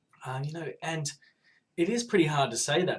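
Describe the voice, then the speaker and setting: With an Australian accent, a man talks at a fairly quick pace in a somewhat breathy voice. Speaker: podcast listener giving video response. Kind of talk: casual video monologue. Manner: hesitant, many fillers.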